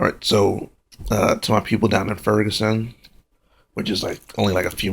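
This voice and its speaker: Soft-spoken and somewhat breathy, a man talks at a fairly quick pace with a fairly low pitch and monotone, flat intonation. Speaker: vlogger. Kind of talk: casual monologue to camera. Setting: at home, late at night.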